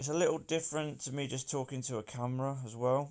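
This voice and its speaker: With an English Midlands accent, a man talks at a moderate pace with fairly even intonation on a very clean recording with a silent background. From England, Northampton. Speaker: personal trainer and podcast host. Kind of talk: casual solo podcast intro. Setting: outdoors in a garden.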